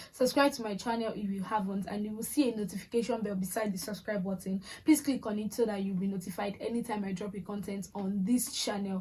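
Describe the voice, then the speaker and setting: A woman rushes along at a very fast pace with hardly any pauses, her medium-pitched voice holding fairly even intonation over noticeable background noise. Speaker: lifestyle and faith vlogger. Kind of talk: motivational vlog talk.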